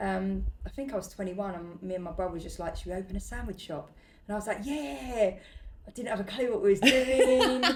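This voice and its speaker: A woman's medium-pitched voice with vocal fry, a fairly quick pace and big swings in loudness. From East London (Bow, East End). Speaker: restaurant owner and entrepreneur. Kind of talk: casual interview chat. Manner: hesitant, many fillers.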